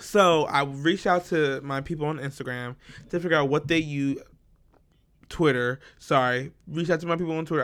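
A man's fairly high, ordinary speaking voice, fairly quick and fairly even in intonation, in a very clean recording with a silent background. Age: 20s. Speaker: podcast co-host. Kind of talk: casual chat.

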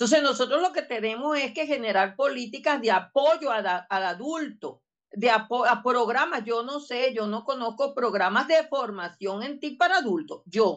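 Against a quiet background, a woman talks at a moderate pace with a high pitch and lively intonation. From Venezuela, Barinas. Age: 60s. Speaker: education technology professor. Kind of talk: interview.

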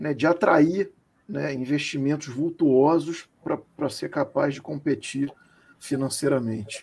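A man talks at a fairly slow pace. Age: 40s. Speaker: football club commentator. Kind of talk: casual chat.

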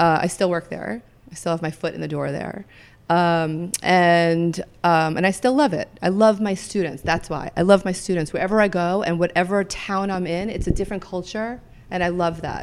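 The woman has a fairly low pitch, ordinary pitch variation and an ordinary speaking voice. Her recording is very clean, with a silent background. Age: 50s. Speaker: yoga teacher and wellness manager. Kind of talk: interview. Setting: studio.

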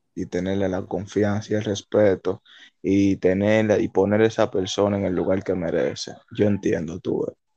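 Dark and mellow in tone, the voice keeps a monotone, flat intonation at a moderate pace, with a dry, close sound free of echo and a quiet background. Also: man, fairly low pitch for a man. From Dominican Republic, Santo Domingo (Los Minas). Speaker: podcast co-host. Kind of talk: casual chat.

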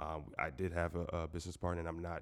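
Someone with an American accent speaks at a fairly quick pace. The recording is very clean, with a silent background. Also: man. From Southwest Florida. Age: 20s. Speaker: sports media entrepreneur. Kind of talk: casual interview.

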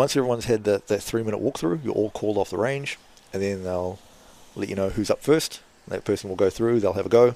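In a New Zealand accent, the speaker has a dark, mellow tone and ordinary pitch variation, going at a very fast pace. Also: man. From New Zealand, Kapiti Coast near Wellington. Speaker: former kickboxer and gym owner. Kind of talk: casual interview.

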